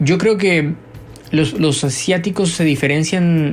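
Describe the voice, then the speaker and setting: A fairly high-pitched man at a very slow pace with ordinary pitch variation. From Colombia, Bogotá. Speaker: journalist and writer. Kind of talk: interview. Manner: halting, many fillers and repeats.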